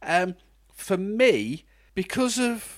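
A man talks with a British accent. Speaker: podcast co-host, film reviewer. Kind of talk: casual chat film review.

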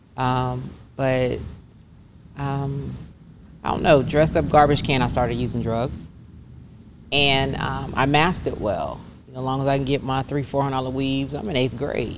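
Long, frequent pauses break up a woman's moderate pace, her very deep, low pitch delivered in a monotone, flat intonation. The room echo is audible and the background noise noticeable. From US South, Atlanta (moved from Pennsylvania at 12). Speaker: bodywork business owner. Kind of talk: testimony.

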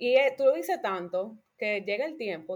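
A woman speaks with a Dominican accent. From Dominican Republic. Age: 20s. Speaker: architect. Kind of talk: podcast interview, personal story.

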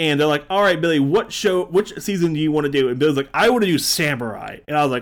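In a plain, everyday voice, a man speaks fairly quickly. He sits fairly high in pitch and varies it in an ordinary way. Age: 30s. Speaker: podcast co-host. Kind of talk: casual chat.

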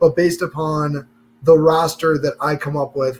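The speaker sounds somewhat breathy, talking at a moderate pace with an American accent. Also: man. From New York. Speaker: podcast co-host. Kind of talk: casual chat.

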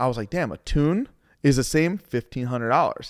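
On a very clean recording with a silent background and a dry, close sound with no echo, a man with a fairly high pitch speaks at a fairly slow pace in an ordinary speaking voice with ordinary pitch variation. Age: 30s. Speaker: car tuner and shop owner. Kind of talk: casual interview. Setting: tuning shop.

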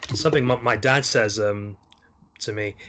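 A man's fairly low voice with a bright, sharp tone. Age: 20s. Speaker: podcast host. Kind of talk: casual chat.

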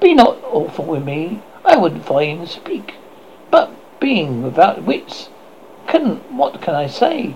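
In a soft-spoken, put-on character voice at middle pitch, the speaker goes at a fairly slow pace with long, frequent pauses over clear background noise. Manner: timid, meek.

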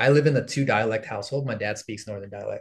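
Speaking at a very fast pace, a man sounds somewhat breathy at a medium pitch. The background is quiet. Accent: American. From Los Angeles area, US (San Fernando Valley). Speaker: content creator and former teacher. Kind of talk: casual interview chat.

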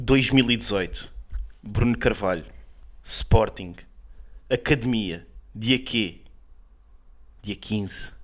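A man's medium-pitched voice at a very slow pace, ordinary pitch variation, and long, frequent pauses. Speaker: comedian podcast co-host. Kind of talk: casual comedic chat. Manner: animated.

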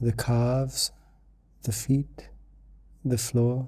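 A man speaks very slowly at a medium pitch, his dark, mellow tone calm and soothing. His delivery is somewhat breathy and flat, staying in a monotone. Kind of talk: guided meditation. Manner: slow, calm, soothing; gentle, unhurried with long pauses.

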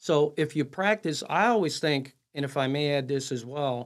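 A man with an American accent, fairly high pitch, lively intonation, and a moderate pace in a normal speaking voice. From Chicago, Illinois. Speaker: amateur golfer and entrepreneur. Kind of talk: interview.

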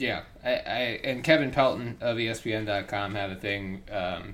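A man talks with a plain, everyday voice. His pitch sits fairly low and varies in an ordinary way.

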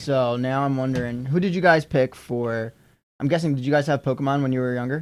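Speaking at a fairly quick pace, a man has an unremarkable speaking voice of medium pitch with fairly even intonation. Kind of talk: casual chat.

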